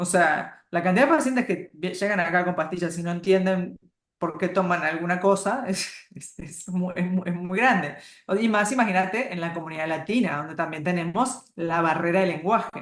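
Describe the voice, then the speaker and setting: A woman's fairly low pitch at a moderate pace, with ordinary pitch variation. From Uruguay. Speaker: hormone and nutrition health practitioner. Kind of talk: interview.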